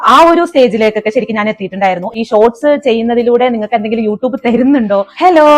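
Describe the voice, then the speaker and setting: A woman speaks at a fairly high pitch with ordinary pitch variation. The sound is dry and close, with no echo. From Kerala, Kothamangalam (Ernakulam). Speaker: cooking YouTuber. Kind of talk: casual Q&A vlog.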